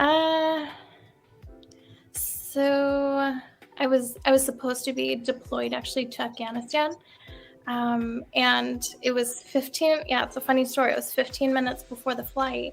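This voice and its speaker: A woman speaks in a high, monotone, flat voice at a fairly slow pace. Music plays in the background. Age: 30s. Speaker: caller, military service member. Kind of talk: phone-in conversation.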